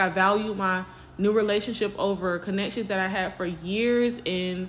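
With audible room echo, a woman speaks at a fairly slow pace and with fairly even intonation. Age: 20s. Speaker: podcast host. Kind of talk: casual monologue.

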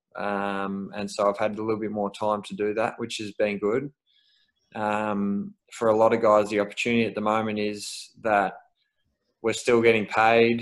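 A man with an Australian accent speaks at a moderate pace in a fairly low, monotone, flat voice. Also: very clean recording, silent background. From Melbourne, Australia. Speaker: professional footballer. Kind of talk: casual interview. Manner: hesitant, many fillers.

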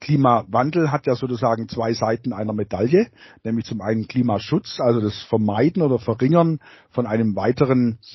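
A man speaks at a medium pitch with ordinary pitch variation. His voice is somewhat breathy. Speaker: geography professor. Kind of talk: interview. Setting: video call. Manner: hesitant, many fillers and repetitions.

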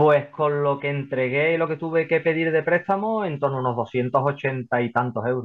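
A man speaks at a moderate pace in a fairly high pitch, with ordinary pitch variation, hardly any pauses, and a plain, everyday voice. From Spain, Seville. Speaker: property investor. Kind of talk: interview.

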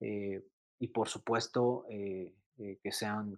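A man with a fairly low pitch comes through with a dry, close sound and no echo. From Mexico City. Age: 30s. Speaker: sneaker influencer and entrepreneur. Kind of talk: casual interview. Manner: halting, many repetitions and fillers.

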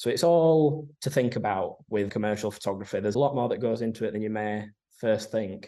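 Against a quiet background, a man with a fairly low pitch and a dark, mellow tone speaks at a moderate pace with fairly even intonation. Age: 20s. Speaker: commercial photographer. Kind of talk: interview. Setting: office.

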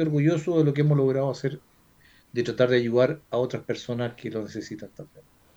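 With a Chilean accent, a man speaks at a medium pitch in a dark, mellow tone. The background is quiet. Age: 60s. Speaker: flight instructor. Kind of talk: casual chat.

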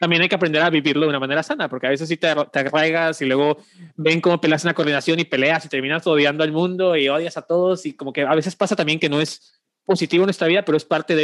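Against a quiet background, a man with a fairly high pitch speaks very fast with fairly even intonation, the sound dry and close with no echo. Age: 20s. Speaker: regional youth movement coordinator. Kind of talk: casual chat.

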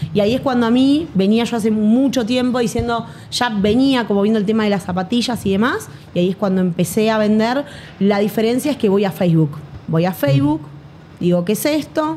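Lively intonation at a fairly quick pace, with noticeable background noise. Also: woman, fairly high pitch for a woman, very even loudness. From Buenos Aires, Argentina. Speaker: affiliate marketer and entrepreneur. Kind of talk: interview. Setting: studio in Medellín.

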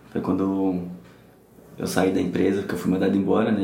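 Audible room echo surrounds this recording. A man speaks at a fairly low pitch. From São Paulo, Brazil. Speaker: guest sharing anxiety story. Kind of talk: casual interview chat.

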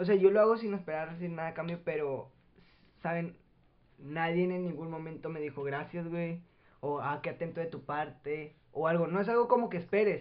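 At a moderate pace, a man talks in a high pitch with ordinary pitch variation. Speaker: podcast co-host, student. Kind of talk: casual chat; storytelling about history.

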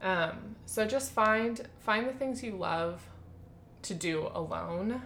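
Over noticeable background noise, a woman speaks at a very slow pace. Her voice is fairly high, with ordinary pitch variation. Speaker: podcast co-host. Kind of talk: casual chat.

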